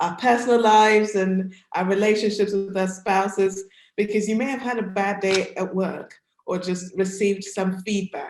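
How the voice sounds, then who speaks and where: A woman speaks with a British accent at a medium pitch. Her pace is fairly slow and her intonation fairly even. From United Kingdom. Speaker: career coach. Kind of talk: presentation to an audience. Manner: conversational.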